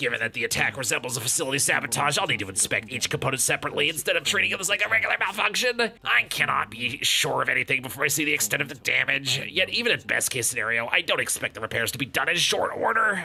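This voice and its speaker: A man puts on a character voice at a fairly high pitch with very wide pitch swings. He talks at a very fast pace over clear background noise. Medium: fan dub. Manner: dry, condescending, offhand.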